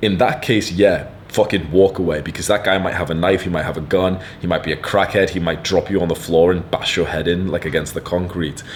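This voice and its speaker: A man speaks with a very deep, low pitch and a British accent, at a fairly quick pace. His tone is animated, and there is noticeable background noise. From UK. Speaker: online content creator, self-improvement advice. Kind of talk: advice monologue reading viewer letter.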